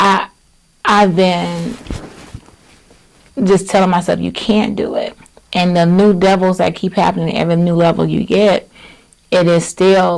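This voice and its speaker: Soft-spoken delivery moves at a fairly slow pace, with long, frequent pauses. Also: woman. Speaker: author and entrepreneur. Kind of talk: interview conversation.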